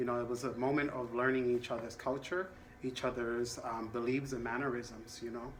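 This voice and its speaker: Fairly quick, monotone, flat delivery from a man at medium pitch, with audible room echo. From Latin America. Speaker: counselor. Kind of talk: role-play counseling session.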